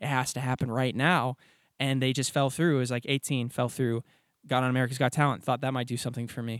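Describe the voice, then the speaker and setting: In a very clean recording with a silent background and a dry, close sound with no echo, a man talks at a very fast pace with medium pitch and monotone, flat intonation. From Nashville, Tennessee. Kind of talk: interview.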